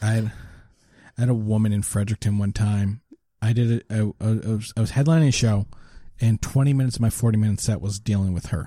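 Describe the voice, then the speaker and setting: A man's very fast, dark, mellow voice at a fairly low pitch, fairly even in intonation, broken by long, frequent pauses, on a very clean recording with a silent background. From Nova Scotia, Canada (Lower Sackville). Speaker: stand-up comedian. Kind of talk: casual chat.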